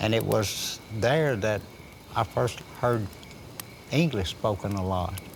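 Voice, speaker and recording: Over noticeable background noise, a man with a fairly low pitch speaks at a very slow pace, using ordinary pitch variation and long, frequent pauses. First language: Chickasaw. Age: old. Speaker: Chickasaw elder. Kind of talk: oral history storytelling.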